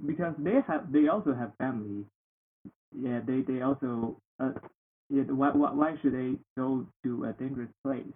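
This man has a Chinese accent and a medium pitch, with ordinary pitch variation. He speaks at a moderate pace, with long, frequent pauses. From northeast China, Heilongjiang. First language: Mandarin Chinese. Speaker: international student. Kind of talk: casual interview.

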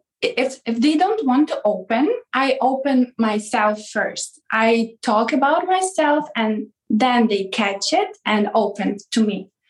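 Speaking very slowly, a woman uses a high voice with lively intonation. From Ukraine. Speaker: webcam chat host. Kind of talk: interview. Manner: halting.

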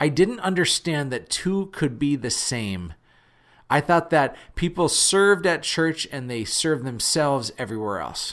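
Loud and animated, a man with an energetic tone speaks at a fairly slow pace with a fairly high pitch and very wide pitch swings. The recording is very clean, with a silent background. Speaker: podcast host. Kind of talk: solo podcast monologue, motivational talk. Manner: animated, energetic, conversational; has a loud voice.

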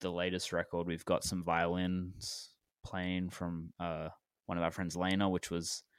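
A man talks at a fairly slow pace in a low, clear, smooth tone.

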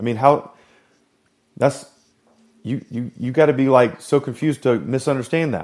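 Pausing long and often, a man speaks at a moderate pace and a medium pitch. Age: 40s. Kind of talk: devotional monologue. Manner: animated; halting, many fillers.

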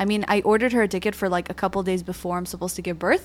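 Speaking very rapidly, a woman fills the clip. Her recording is very clean, and the background is silent. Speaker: podcast co-host, pregnant mother. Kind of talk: casual chat.

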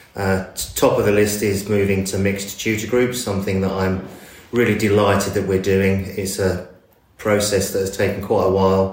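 Man with an English accent, fairly low pitch, monotone, flat intonation and a moderate pace. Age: 50s. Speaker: school assistant head. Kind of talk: interview.

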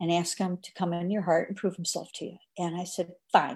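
A woman with a medium pitch speaks at a moderate pace in a somewhat breathy voice. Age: 70s. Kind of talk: casual chat. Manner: animated.

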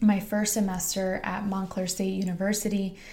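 Flat and monotone, a woman with an American accent talks at medium pitch over audible room echo. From New Jersey, Harrison. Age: 20s. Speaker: podcast host and high school teacher. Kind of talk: motivational monologue.

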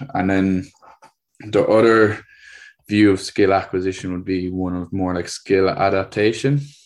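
A man's very deep, low voice in a Cork accent, moderate in pace with long, frequent pauses and fairly even intonation, against a quiet background. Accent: Cork Irish. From Ireland, Cork. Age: 20s. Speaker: PE teacher and tennis coach. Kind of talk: interview. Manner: hesitant, many fillers.

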